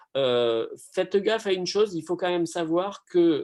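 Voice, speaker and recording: In a southern French accent, a man speaks with lively intonation. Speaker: pharmacy lecturer. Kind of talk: online Q&A. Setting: video call. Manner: hesitant, many fillers.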